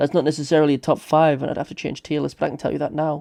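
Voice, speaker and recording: Over a quiet background, a man with a British accent speaks in a dark, mellow tone, fairly high in pitch and monotone, with flat intonation. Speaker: gaming streamer. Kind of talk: live stream commentary. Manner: aggressive.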